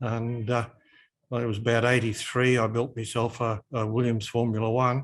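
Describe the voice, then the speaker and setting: Against a quiet background, the speaker uses an Australian accent, moving at a moderate pace with monotone, flat intonation. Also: man. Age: 70s. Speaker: hobby shop owner. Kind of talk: casual interview.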